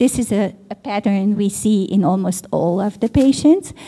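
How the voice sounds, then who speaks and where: Speaking at a fairly slow pace, a woman has a fairly high, somewhat breathy voice with a dark, mellow tone. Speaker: pediatrician and professor. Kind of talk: conference lecture.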